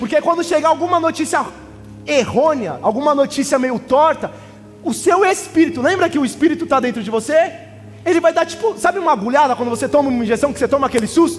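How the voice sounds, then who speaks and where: Over music in the background, a man talks at a very fast pace in an extremely high voice with ordinary pitch variation. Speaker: pastor. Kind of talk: sermon. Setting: church.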